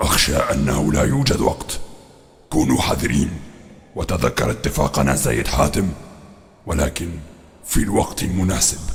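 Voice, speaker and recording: Putting on a character voice, a man speaks very deep and low at a fairly slow pace, with long, frequent pauses and faint music in the background. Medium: audio drama. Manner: formal classical Arabic, solemn.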